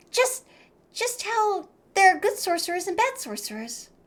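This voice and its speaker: A squeaky, put-on character voice moves at a moderate pace with lively intonation. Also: woman, extremely high pitch for a woman. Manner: sleepy, drawn out.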